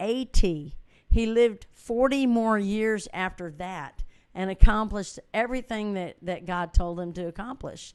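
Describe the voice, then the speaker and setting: A plain, everyday voice from a woman at a medium pitch, speaking at a fairly slow pace with ordinary pitch variation and big swings in loudness against a quiet background. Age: 60s. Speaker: musician and inspirational speaker. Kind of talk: motivational talk. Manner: casual and conversational.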